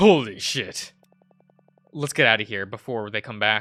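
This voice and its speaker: With music in the background, a man uses a husky put-on character voice at a medium pitch, moving at a moderate pace with ordinary pitch variation. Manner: relieved.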